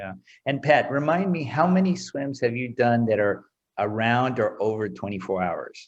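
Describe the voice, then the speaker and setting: A man in a normal speaking voice with an American accent, medium pitch, lively intonation and a moderate pace, against a quiet background. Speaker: interview host, open water swimming. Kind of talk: casual interview. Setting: video call.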